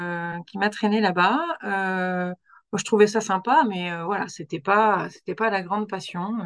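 Against a quiet background, a woman talks at a very slow pace with a medium pitch and fairly even intonation. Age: 40s. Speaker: doctor. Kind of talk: interview. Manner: halting.

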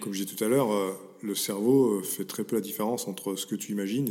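A man speaks at a fairly low pitch in a dark, mellow tone with ordinary pitch variation. The recording is very clean, with a silent background. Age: 40s. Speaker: mental performance coach. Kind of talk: interview. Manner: halting, repeats words.

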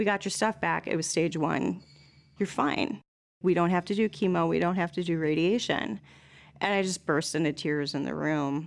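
A woman with an American accent speaks at a fairly low pitch with vocal fry. Her pace is moderate and her pitch variation ordinary. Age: 40s. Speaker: former student. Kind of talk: casual chat.

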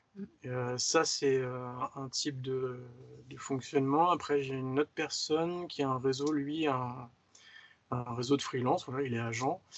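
An ordinary speaking voice at a fairly slow pace with fairly even intonation. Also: man, medium pitch for a man. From Paris region, France. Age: 30s. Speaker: motion designer. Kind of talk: casual interview.

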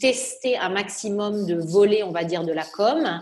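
A woman at a medium pitch, with ordinary pitch variation, talks over noticeable background noise. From southern France, Nice. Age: 30s. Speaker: entrepreneur. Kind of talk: interview.

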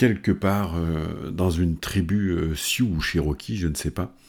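A man's very deep, low voice comes through a very clean recording with a silent background. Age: 50s. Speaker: performance coach. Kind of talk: motivational talk. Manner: hesitant, many fillers.

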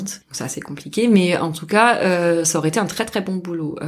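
Noticeable background noise sits behind this recording. The woman speaking has a fairly low pitch. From southern France (Albi, near Toulouse). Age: 30s. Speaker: former researcher turned horticulture apprentice. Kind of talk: interview conversation. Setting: in person at a table, at host's home.

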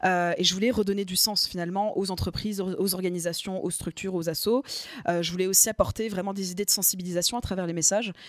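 Talking at a very fast pace, a woman uses a medium pitch and fairly even intonation on a very clean recording with a silent background. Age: 20s. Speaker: communication agency founder. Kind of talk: interview. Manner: hesitant with many fillers.

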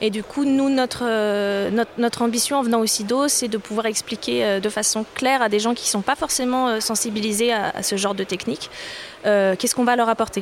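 A woman's ordinary speaking voice, fairly high-pitched, with fairly even intonation and a fairly quick pace. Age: 30s. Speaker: sales and marketing manager. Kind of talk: interview. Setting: live at a trade fair.

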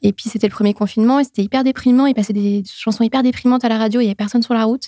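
In a very clean, dry and close recording with a silent background and no echo, a woman with a fairly high pitch and a dark, mellow tone talks at a very fast pace with fairly even intonation. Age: 30s. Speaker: perinatal consultant and former nurse. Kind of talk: testimony.

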